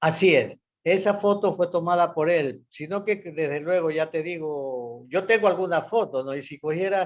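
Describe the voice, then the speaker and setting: A man with a high pitch speaks at a moderate pace. He talks with hardly any pauses. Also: ordinary pitch variation. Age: 70s. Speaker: local historian. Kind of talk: casual chat.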